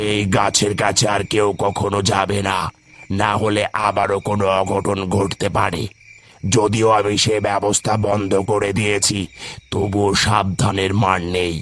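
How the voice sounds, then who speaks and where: A man does a cartoonish character voice at a fairly low pitch, with flat, monotone intonation, very even loudness and a fairly slow pace. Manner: authoritative.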